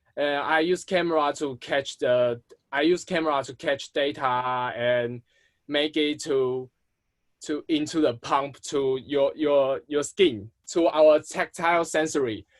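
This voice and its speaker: Recorded dry and close with no echo, a man speaks at a fairly high pitch. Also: fairly slow pace. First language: not English. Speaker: artist. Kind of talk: video call interview. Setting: video call. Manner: halting, many restarts.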